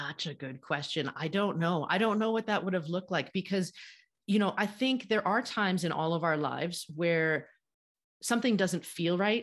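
A woman with an American accent talks at a moderate pace in a medium pitch with ordinary pitch variation. It is an ordinary speaking voice against a quiet background. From United States. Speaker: podcast host and author. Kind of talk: interview conversation.

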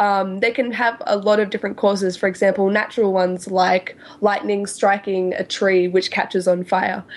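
Amid noticeable background noise, a woman with an Australian accent speaks at a moderate pace and medium pitch, flat and monotone, with hardly any pauses. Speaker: science podcast co-host. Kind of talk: explanatory casual chat.

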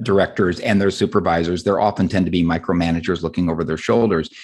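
A man talks at a fairly quick pace with an American accent. The background is quiet. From Southern California. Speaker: novelist and screenwriter. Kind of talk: interview conversation.

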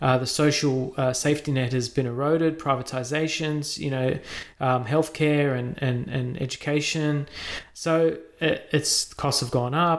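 Speaking fairly slowly with an Australian accent, a man uses a fairly high pitch and a monotone, flat intonation. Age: 30s. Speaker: podcast host. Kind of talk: casual interview; scripted intro and sponsor read.

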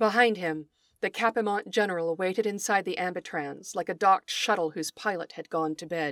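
This woman has a normal speaking voice at medium pitch, talking at a fairly quick pace with big swings in loudness. The sound is dry and close with no echo, and the recording is very clean against a silent background. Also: ordinary pitch variation. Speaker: podcast host and writer. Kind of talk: dramatic narration, reading fiction aloud; scripted podcast intro and outro.

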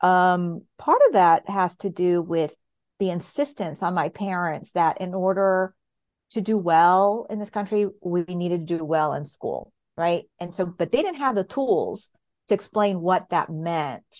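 A woman with an American accent speaks at a fairly slow pace and a medium pitch. Her pitch varies in an ordinary way against a quiet background. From Southern California. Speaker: historian. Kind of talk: interview.

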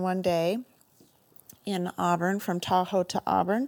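On a very clean recording with a silent background, a woman with an American accent speaks very slowly in a medium pitch and a dark, mellow tone, with fairly even intonation. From Northern California. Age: 50s. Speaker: endurance rider. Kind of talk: recorded personal story.

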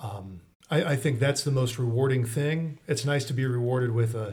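A man with an American accent, medium pitch and a somewhat breathy voice, at a fairly slow pace with fairly even intonation. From Mansfield, Ohio. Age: 30s. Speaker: attorney. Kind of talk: interview.

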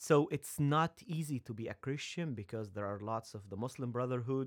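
A man speaks at a medium pitch. He has an Egyptian accent. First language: Arabic. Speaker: seminary student and former pharmacist. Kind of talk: casual interview chat. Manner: nervous.

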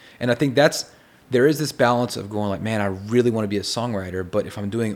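A man with a Texan accent talks at a fairly quick pace. His pitch is medium, with ordinary pitch variation. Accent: Texan American. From Texas. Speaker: songwriter and producer. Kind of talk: casual interview chat. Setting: in person, writer condo.

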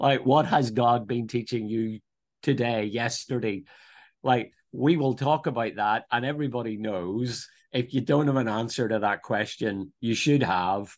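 A man's medium-pitched voice with a Northern Irish accent, fairly slow pace, ordinary pitch variation, and a quiet background. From Northern Ireland, near Belfast. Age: 50s. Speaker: theological college principal and pastor. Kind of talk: interview conversation. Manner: hesitant, many fillers and repetitions.

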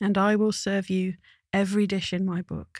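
A woman speaks at a moderate pace in a medium pitch. The recording is very clean with a silent background. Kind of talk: casual chat.

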